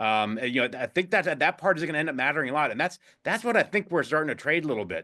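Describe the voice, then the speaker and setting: Over a silent background on a very clean recording, a man speaks in a bright, sharp tone with lively intonation. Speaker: investment executive. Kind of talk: interview. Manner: fast; halting, many fillers and repeats.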